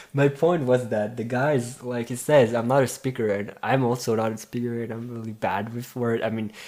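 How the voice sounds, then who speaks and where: Speaking with a French accent, a man talks at a moderate pace and medium pitch with fairly even intonation and hardly any pauses. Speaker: podcast co-host. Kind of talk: casual chat.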